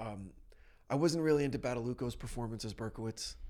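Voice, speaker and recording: A man speaks at medium pitch with lively intonation. His is an unremarkable speaking voice. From New Jersey. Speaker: podcast host. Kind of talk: casual chat. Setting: studio.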